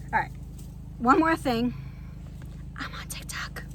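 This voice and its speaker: A woman speaking at a fairly quick pace, with audible room echo. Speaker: vlogger living in an RV. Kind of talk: casual vlog talk to camera. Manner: rambling, conversational.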